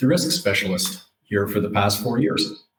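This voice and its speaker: A man with a western Canadian accent speaks fairly slowly at medium pitch, sounding somewhat breathy. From Alberta, Canada (Calgary). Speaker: insurance fleet safety specialist. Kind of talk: casual interview. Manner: halting, many fillers.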